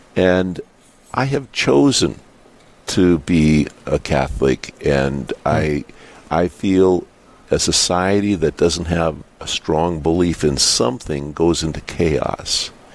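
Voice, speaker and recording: A man speaks very slowly in a very deep, low voice with lively intonation and very even loudness, over noticeable background noise. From US Upper Midwest, North Dakota. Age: 60s. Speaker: business owner. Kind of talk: radio interview. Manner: halting, many fillers and repetitions.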